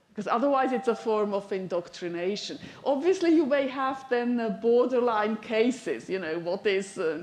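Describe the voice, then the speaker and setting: At a moderate pace and with hardly any pauses, a woman with a fairly high pitch uses lively intonation, with audible room echo and noticeable background noise. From Switzerland. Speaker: university lecturer. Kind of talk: lecture.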